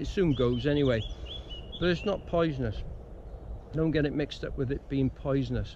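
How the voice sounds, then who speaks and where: Recorded dry with no echo over light background noise, a man talks at a fairly quick pace. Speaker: bushcraft instructor. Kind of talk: casual vlog chat. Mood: relaxed, anecdotal, laughs. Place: open country. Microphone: phone near.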